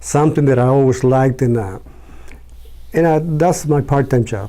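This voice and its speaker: Here is a man with a normal speaking voice at medium pitch. He uses ordinary pitch variation. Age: 60s. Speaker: printer; army reserve veteran. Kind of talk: interview answer.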